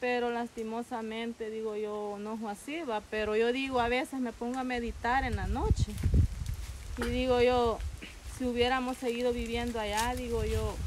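A woman's high-pitched voice at a moderate pace, monotone and flat in intonation, over noticeable background noise. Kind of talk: casual reminiscing talk. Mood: nostalgic, wistful. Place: open country.

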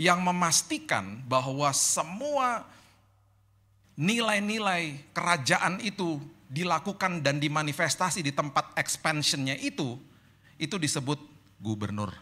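At a fairly slow pace, a man with a fairly high pitch and a bright, sharp tone speaks with lively intonation. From Indonesia, Manado and Indian family; Indonesia. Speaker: pastor. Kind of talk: sermon. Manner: casual. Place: hall. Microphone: handheld.

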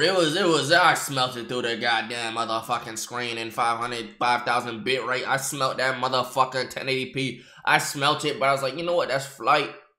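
A man with a bright, sharp tone speaks over a quiet background. Room echo is audible. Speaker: livestreamer. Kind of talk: live reaction commentary. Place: home room. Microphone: earbuds.

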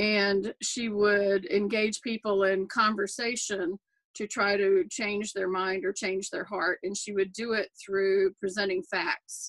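A woman's monotone, flat delivery at a very slow pace, with a quiet background. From Appalachia. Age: 60s. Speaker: activist and bereaved mother. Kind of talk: interview. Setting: video call. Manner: halting. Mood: calm, earnest. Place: home room. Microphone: webcam.

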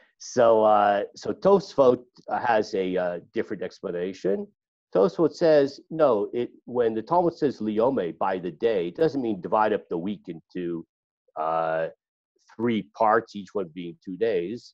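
An unremarkable speaking voice from a man, fairly low in pitch, with lively intonation at a fairly slow pace against a quiet background. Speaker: class teacher. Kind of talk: lecture. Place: home room. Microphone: video call.

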